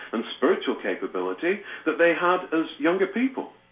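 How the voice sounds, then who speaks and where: A man with a British accent, moderate pace and lively intonation. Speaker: trance medium and author. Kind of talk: interview.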